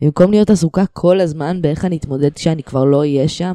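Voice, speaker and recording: A woman speaks at a fairly quick pace, her pitch fairly low and varying in an ordinary way. Her tone is dark and mellow, and the recording is very clean and dry, close up with no echo against a silent background. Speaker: podcast host and comedian. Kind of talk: monologue; casual chat.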